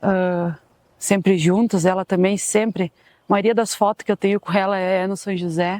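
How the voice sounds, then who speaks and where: The sound is dry and close, with no echo. The intonation stays monotone and flat. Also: woman, medium pitch for a woman, moderate pace, very clean recording, silent background. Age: 30s. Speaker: club supporter. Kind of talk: documentary interview.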